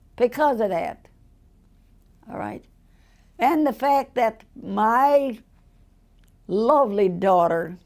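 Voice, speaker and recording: A woman's very slow, fairly high-pitched delivery in an American accent, with lively intonation, big swings in loudness and long, frequent pauses. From Chicago, US Midwest. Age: 80s+. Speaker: centenarian interviewee. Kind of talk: interview. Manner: halting, repetitive.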